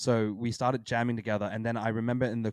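In an Australian accent, a man talks fairly quickly at medium pitch, the sound dry and close with no echo over a quiet background. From Australia, Sydney. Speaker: hardcore band frontman. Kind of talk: casual chat.

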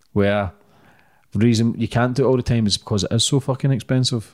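A man with a Scottish accent talks very fast and with fairly even intonation on a very clean recording with a silent background. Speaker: podcast host. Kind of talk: casual interview.

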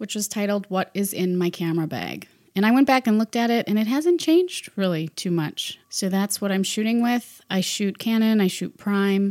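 Her voice is an unremarkable speaking voice: a woman at medium pitch with ordinary pitch variation, a moderate pace and hardly any pauses, in a very clean recording with a silent background. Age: 30s. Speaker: podcast host and photographer. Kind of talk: casual solo podcast talk.

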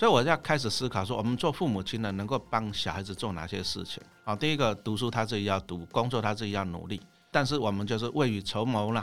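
Very fast speech from a man, fairly low in pitch and with ordinary pitch variation. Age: 50s. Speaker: investment author and former teacher. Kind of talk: podcast interview.

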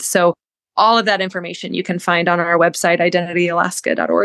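A woman with an American accent talks at a very fast pace in a fairly low pitch, her fairly even intonation marked by vocal fry, in a dry, close recording with no echo and a quiet background. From US South. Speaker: nurse practitioner. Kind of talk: interview.

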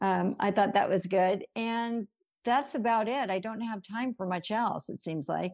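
An unremarkable speaking voice with ordinary pitch variation moves at a fairly slow pace on a very clean recording with a silent background. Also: woman, medium pitch for a woman. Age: 60s. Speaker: marriage and family therapist. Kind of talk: interview. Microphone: technical issues on her end.

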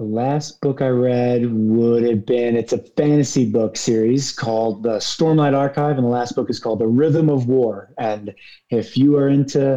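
This man has a slight New York accent and a dark, mellow tone. His pitch varies in an ordinary way. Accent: faint New York. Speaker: thru hiker and hiking guide. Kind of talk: casual interview. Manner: animated, gregarious.

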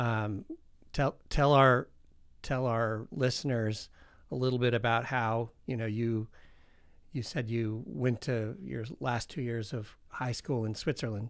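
On a very clean recording with a silent background, a man with an ordinary speaking voice talks at a medium pitch and a fairly slow pace, his intonation fairly even. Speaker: podcast host. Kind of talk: interview.

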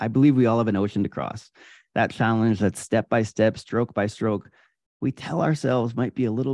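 With an American accent and an unremarkable speaking voice, this man talks fairly quickly at a fairly low pitch with ordinary pitch variation, recorded dry and close with no echo against a quiet background. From upstate New York, Adirondacks. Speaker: endurance athlete and keynote speaker. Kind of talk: interview.

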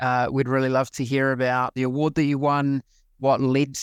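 Monotone and flat, a man of medium pitch with a New Zealand accent speaks at a fairly quick pace on a very clean recording with a silent background. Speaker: podcast host. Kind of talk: interview.

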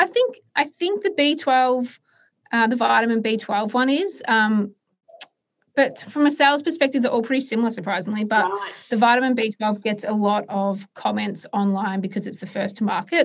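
Speaking at a moderate pace with an Australian accent, a woman uses a fairly high pitch and lively intonation. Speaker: entrepreneur. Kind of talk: interview. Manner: hesitant, many filler words.

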